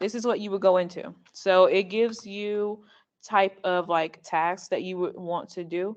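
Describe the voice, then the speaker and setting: A woman's normal speaking voice at medium pitch, fairly slow in pace, with fairly even intonation. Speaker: student club member. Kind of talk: presentation.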